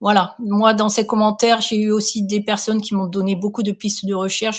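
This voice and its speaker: A somewhat breathy woman's voice at medium pitch, moderate pace and monotone, flat intonation. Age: 60s. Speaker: care assistant sharing her story. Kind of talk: interview testimony. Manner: hesitant, many fillers.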